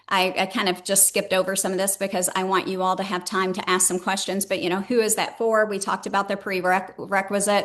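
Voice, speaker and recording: The pace is very fast with hardly any pauses. Intonation stays monotone and flat. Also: woman, medium pitch for a woman. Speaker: enterprise transformation consultant. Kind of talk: webinar presentation.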